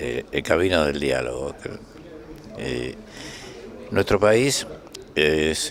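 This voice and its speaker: A man speaks very slowly with a very deep, low pitch. Noticeable background noise is present. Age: 80s+. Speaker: trade union leader. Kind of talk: interview. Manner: halting.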